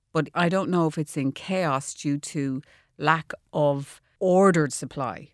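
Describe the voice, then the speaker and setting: Speaking in an Irish accent, a woman uses a very deep, low voice, recorded with a dry, close sound and no echo. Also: ordinary pitch variation, fairly slow pace, very clean recording, silent background. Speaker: architect and designer. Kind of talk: radio interview. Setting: studio.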